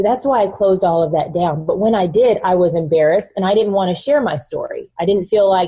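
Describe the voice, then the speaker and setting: Somewhat breathy and very fast, a woman speaks in an American accent at medium pitch with ordinary pitch variation. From US South, North Texas. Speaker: author and entrepreneur. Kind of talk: interview conversation. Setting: podcast.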